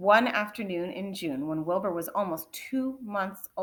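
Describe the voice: The recording holds plain reading aloud.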